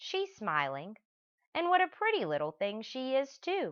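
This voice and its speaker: A female-sounding put-on character voice speaks at a moderate pace with a high pitch. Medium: read story.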